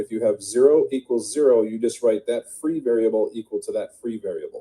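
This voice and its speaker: A man talks at a fairly quick pace. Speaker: math tutor. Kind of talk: tutorial. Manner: fast.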